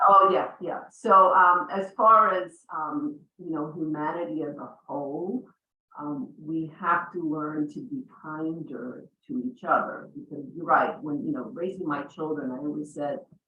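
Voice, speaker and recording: A woman's unremarkable speaking voice, fairly low in pitch and fairly slow, with lively intonation and big swings in loudness. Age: 60s. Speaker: real estate broker. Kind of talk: panel discussion.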